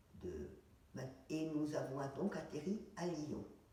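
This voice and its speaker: A woman with a very deep, low pitch talks very slowly amid audible room echo. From France, Paris. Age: 80s+. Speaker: retired dentist, war witness. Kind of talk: testimony interview. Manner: halting, with hesitations.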